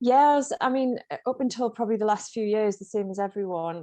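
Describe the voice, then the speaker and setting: A woman with a North East England accent, medium-pitched and dark, mellow in tone, at a fairly quick pace, with a dry, close sound with no echo and a quiet background. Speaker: running coach and author. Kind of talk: interview.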